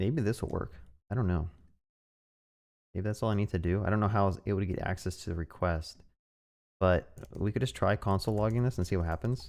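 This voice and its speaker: Over a very clean recording with a silent background, a man with a fairly low pitch talks at a very fast pace with long, frequent pauses, very even loudness and ordinary pitch variation. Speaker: programming streamer. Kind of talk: live coding stream. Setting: live stream. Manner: halting.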